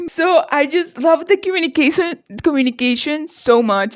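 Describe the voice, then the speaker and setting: A woman with a non-native accent talks at a moderate pace in an animated tone with lively intonation. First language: not English. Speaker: youtuber. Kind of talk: casual rant to camera.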